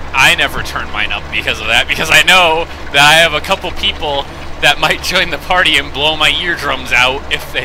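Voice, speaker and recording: At a fairly quick pace, the speech shows ordinary pitch variation against noticeable background noise. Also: man, fairly high pitch for a man. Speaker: gaming streamer. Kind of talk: casual chat. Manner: loud; halting.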